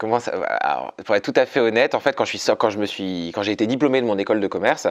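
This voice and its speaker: A man with a medium pitch sounds animated, talking at a very fast pace with ordinary pitch variation. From Paris, France. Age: 20s. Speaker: comedian and dancer. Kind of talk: interview.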